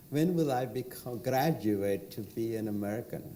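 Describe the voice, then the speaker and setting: Noticeable background noise accompanies this recording. A man talks at a fairly slow pace. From India. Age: 60s. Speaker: entrepreneur. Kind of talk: panel discussion.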